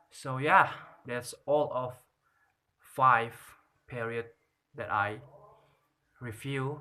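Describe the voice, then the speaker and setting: With a non-native accent, a man speaks at a very slow pace with long, frequent pauses, his medium-pitched voice bright and sharp in tone and his intonation fairly even. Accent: non-native English pronunciation. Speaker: student. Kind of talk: class presentation review. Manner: halting, with fillers.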